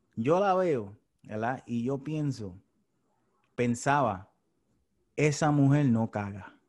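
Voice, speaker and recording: A man at medium pitch speaks at a very slow pace with long, frequent pauses. His intonation is lively, and the background is quiet. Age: 30s. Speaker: podcast host. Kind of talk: casual chat.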